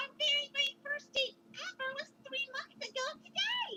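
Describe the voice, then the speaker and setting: In a put-on character voice, a female-sounding speaker squeaks at an extremely high pitch with a bubbly tone. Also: moderate pace. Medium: read story. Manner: bubbly, bouncy.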